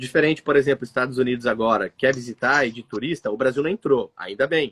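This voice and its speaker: In a plain, everyday voice, a man speaks at a medium pitch, at a fairly quick pace with lively intonation. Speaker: migration consultancy director. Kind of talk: live stream conversation. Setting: live stream with remote guest.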